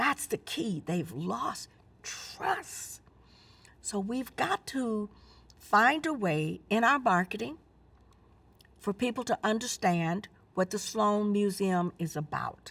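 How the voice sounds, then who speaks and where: A woman in an American accent at medium pitch, very slow with long, frequent pauses and lively intonation, on a very clean recording with a silent background. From Texas, Houston. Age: 70s. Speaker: community outreach leader. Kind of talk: interview testimony.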